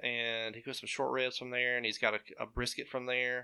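With an Alabama accent, a man speaks at a fairly quick pace in a medium pitch. His tone is bright and sharp. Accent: US Southern (Alabama). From Alabama, Nauvoo (Walker County). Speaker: surgical healthcare worker. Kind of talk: casual chat. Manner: halting, many fillers.

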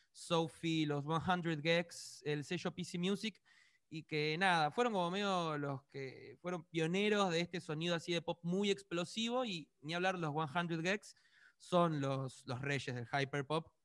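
A man speaks at a fairly slow pace in a high voice. The sound is dry and close with no echo, very clean, with a silent background. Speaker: pop musician. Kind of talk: interview.

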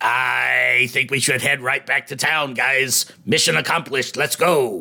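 In a put-on character voice that is raspy, the speaker goes at a fairly slow pace. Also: man, medium pitch for a man. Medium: actual play. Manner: falsely casual, eager to leave.

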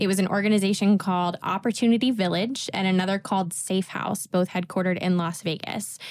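Very fast and with hardly any pauses, a woman speaks at a medium pitch with fairly even intonation. The recording is very clean with a silent background. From Tennessee, US. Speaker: podcast co-host, financial analyst, alumni. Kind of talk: casual chat, podcast. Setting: studio.

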